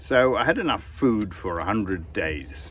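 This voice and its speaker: A man with very wide pitch swings, in a dry sound with no echo and light background noise. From England. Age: 70s. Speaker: sailor and author. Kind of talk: casual vlog monologue. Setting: outdoors on a sailboat at sea. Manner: relaxed, chatty. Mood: relaxed, wry. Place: boat. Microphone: phone near.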